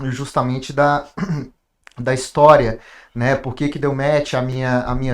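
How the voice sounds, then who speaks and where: The recording is very clean, with a silent background. A man talks at a moderate pace and medium pitch with monotone, flat intonation. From Brasília, Brazil. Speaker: industry manager. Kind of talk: podcast conversation. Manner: halting, frequent repetitions.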